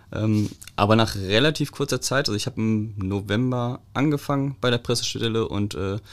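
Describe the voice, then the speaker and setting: In a very clean recording with a silent background, a man talks in an unremarkable speaking voice, his pitch fairly low and his intonation fairly even. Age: 30s. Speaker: police press officer. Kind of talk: casual chat.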